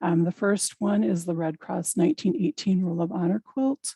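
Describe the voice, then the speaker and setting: The voice is somewhat breathy, moving at a moderate pace with ordinary pitch variation. The sound is dry and close with no echo. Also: woman. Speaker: librarian presenting a cataloging webinar. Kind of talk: webinar presentation. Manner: many filler ums.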